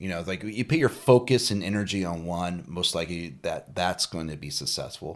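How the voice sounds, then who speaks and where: A man's voice is very deep and low, with ordinary pitch variation. He talks at a fairly quick pace with hardly any pauses. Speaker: podcast co-host, coach. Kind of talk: casual chat.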